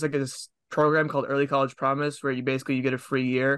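Very fast and monotone with flat intonation, this bright, sharp voice carries an American accent over a quiet background. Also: man. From Massachusetts, Lowell area near Boston. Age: young. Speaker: young filmmaker. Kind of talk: casual interview chat. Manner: halting, many fillers and restarts.

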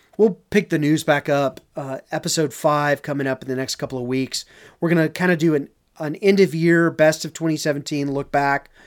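A man with a slight Southern US accent talks at a fairly quick pace in a fairly high voice, his intonation fairly even, on a very clean recording with a silent background. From Texas, Dallas. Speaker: off-road podcast co-host. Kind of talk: casual chat.

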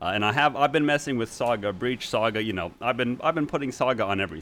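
A normal speaking voice from a man, fairly low in pitch, at a fairly quick pace. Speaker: podcast host. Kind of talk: casual chat.

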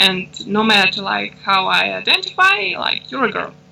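A woman speaks with a Russian accent. She keeps a moderate pace. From Russia and Ukraine. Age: 20s. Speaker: intersex activist. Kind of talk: interview. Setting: remote call.

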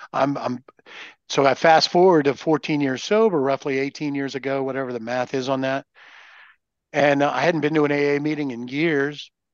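A man with a fairly high pitch has an unremarkable speaking voice. He keeps a moderate pace and fairly even intonation over a quiet background. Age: 60s. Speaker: recovering alcoholic sharing experience. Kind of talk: casual chat.

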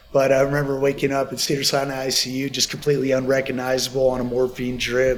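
Over noticeable background noise, a man rattles along at a very fast pace with hardly any pauses, at medium pitch in a monotone with flat intonation. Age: 40s. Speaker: skincare company founder. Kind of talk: casual chat.

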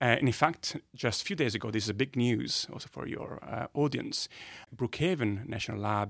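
Using a medium pitch with ordinary variation, a man with an Italian accent speaks at a moderate pace with vocal fry. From northern Italy. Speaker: physicist. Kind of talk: casual interview chat. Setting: studio.

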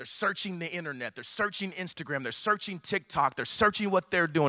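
Raised and projected, a man's voice comes in an American accent with an animated tone and ordinary pitch variation. He talks at a very fast pace in a dry, close sound with no echo. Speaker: pastor. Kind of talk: energetic guest sermon to a live megachurch congregation. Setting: church stage with live audience. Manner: very fast, rapid-fire preaching; animated, rising exhortation with repetitive punchy phrasing.

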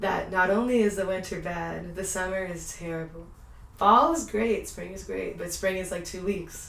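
A woman speaks at a medium pitch and moderate pace with an American accent and fairly even intonation against noticeable background noise. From Houston, Texas. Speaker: medical student. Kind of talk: casual chat.

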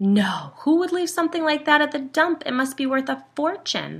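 Using a put-on character voice, a woman speaks at a high pitch with big pitch swings. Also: moderate pace, fairly bright tone.

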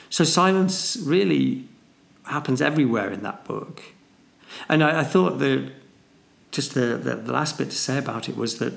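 Speaking with a northern English accent, a man keeps a moderate pace broken by long, frequent pauses. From northern England. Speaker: podcast co-host, mathematician and businessman. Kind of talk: casual chat.

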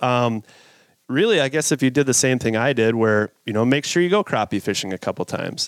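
This is a man with an unremarkable speaking voice and an American accent. His intonation is lively. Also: medium pitch for a man, fairly quick pace. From Minnesota. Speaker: professional angler. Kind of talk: casual interview. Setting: studio.

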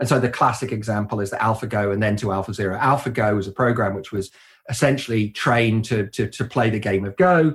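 In a British accent, a somewhat breathy man talks very fast at a fairly low pitch with ordinary pitch variation. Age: 50s. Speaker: computer science professor. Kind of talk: interview.

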